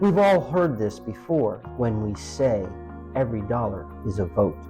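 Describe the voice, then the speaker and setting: A man speaks at a fairly slow pace in a fairly low pitch, his voice swinging very widely up and down over background music. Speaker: author reading own book. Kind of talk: nonfiction book reading. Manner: voice breaking toward the end.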